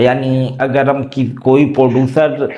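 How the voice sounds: Audible room echo surrounds a man speaking at medium pitch. His tone is slightly mellow.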